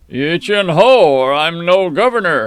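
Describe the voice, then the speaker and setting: A man puts on a character voice, high in pitch and lively in intonation. He delivers it at a fairly slow pace. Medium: read story. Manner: curt, commanding.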